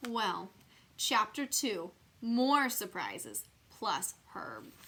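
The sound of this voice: Speaking at a very slow pace, a woman uses a medium pitch, a bright, sharp tone with a slightly husky edge, and very wide pitch swings.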